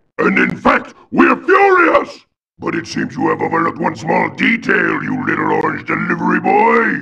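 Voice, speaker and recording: Here a man puts on a character voice. He keeps a moderate pace. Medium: video game. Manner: booming, menacing.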